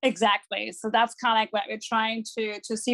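A woman with a German accent and a fairly high pitch speaks at a fairly quick pace. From Germany, Dortmund. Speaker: football fan club organizer. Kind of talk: interview. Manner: hesitant, many fillers.

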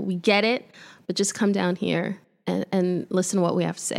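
In a very clean recording with a silent background, a woman speaks. Her pitch is medium, and she has a New York accent. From New York, Brooklyn (Midwood). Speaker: sports journalist. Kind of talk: casual chat. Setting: studio.

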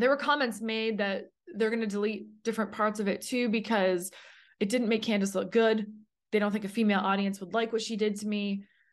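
A woman speaks in an ordinary speaking voice with a Canadian accent, her pitch fairly high. The pace is moderate and the background is quiet. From Canada. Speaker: podcast host. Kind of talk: personal testimony monologue.

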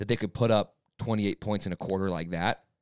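Recorded very cleanly against a silent background, with a dry, close sound with no echo, a man speaks fairly quickly at a fairly low pitch in an ordinary speaking voice. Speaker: sports fan podcast co-host. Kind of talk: casual chat.

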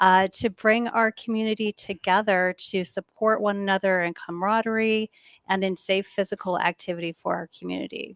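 On a very clean recording with a silent background, a woman with an American accent speaks at a fairly quick pace in an unremarkable speaking voice, with medium pitch and fairly even intonation. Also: dry, close sound with no echo. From Michigan. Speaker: nonprofit associate director. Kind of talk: interview.

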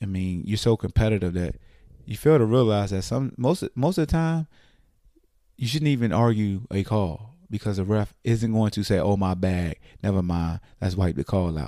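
A man talks at a moderate pace in a fairly low voice with a dark, mellow tone. His intonation is lively. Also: very clean recording, silent background. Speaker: sports podcast host. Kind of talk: sports recap monologue. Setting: home recording late at night. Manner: low, quiet voice; relaxed.

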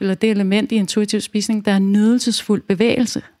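The woman's intonation is monotone and flat. She keeps a moderate speed. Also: dry, close sound with no echo. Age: 40s. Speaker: nutrition coach and educator. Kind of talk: casual interview chat.

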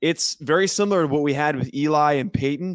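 On a very clean recording with a silent background and a dry, close sound with no echo, a man speaks in a normal speaking voice at a fairly high pitch and a moderate pace. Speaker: podcast host, former college long snapper. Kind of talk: casual sports analysis chat.

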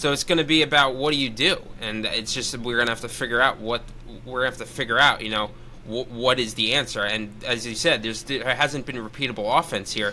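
A man talks at a fairly quick pace. Noticeable background noise runs under his speech. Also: medium pitch for a man, ordinary pitch variation. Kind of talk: casual sports chat.

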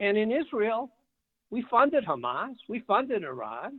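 His pitch shows ordinary variation. The speaker is a man with an American accent. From Detroit, Michigan. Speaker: Senate candidate and businessman. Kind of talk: political interview.

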